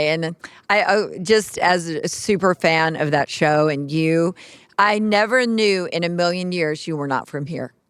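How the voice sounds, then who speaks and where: A fairly slow, fairly low-pitched woman's voice in a Texan accent, with ordinary pitch variation. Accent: Texan American. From West Texas, US. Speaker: interview host. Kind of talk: interview. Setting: stage with audience.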